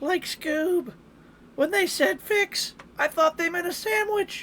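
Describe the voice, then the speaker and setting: This put-on character voice is pitched extremely high. It moves at a fairly slow pace. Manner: imitated cartoon voice.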